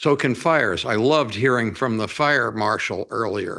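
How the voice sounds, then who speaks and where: This man talks at a moderate pace in a medium pitch with vocal fry, a bright, sharp tone and ordinary pitch variation, against a quiet background. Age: 80s+. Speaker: public commenter, retired academic. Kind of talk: public comment at city council. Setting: city council chambers.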